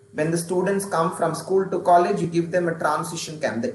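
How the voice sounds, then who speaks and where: Someone speaks with an Indian accent amid light background noise and audible room echo. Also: man. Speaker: stress management trainer. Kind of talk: guided breathing meditation, calm and instructive. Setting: video call. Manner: slow, calm, gently paced; interactive, animated, encouraging. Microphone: video call.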